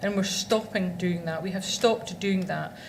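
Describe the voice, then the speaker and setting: A woman with a Scottish accent speaks at a medium pitch and moderate pace, with fairly even intonation. Noticeable background noise and audible room echo surround her. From Scotland. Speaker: law firm executive. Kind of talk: conference presentation. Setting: stage with audience.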